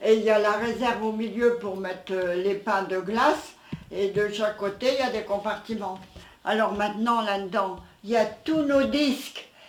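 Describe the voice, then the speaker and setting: A woman's fairly high pitch and fairly even intonation at a moderate pace, with audible room echo. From France, Aisne (Picardy), village near Reims. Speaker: elderly villager, interviewee. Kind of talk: casual reminiscing interview.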